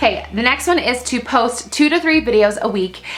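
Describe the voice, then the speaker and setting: Fairly high-pitched woman with an animated tone and lively intonation, over noticeable background noise. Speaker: mommy vlogger. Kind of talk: casual vlog monologue. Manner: loud.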